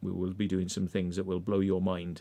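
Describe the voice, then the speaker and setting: A man speaks with an English accent in a very deep, low voice with a dark, mellow tone. His intonation is monotone and flat, at a fairly quick pace. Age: 50s. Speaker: urban explorer and livestream host. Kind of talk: casual livestream chat.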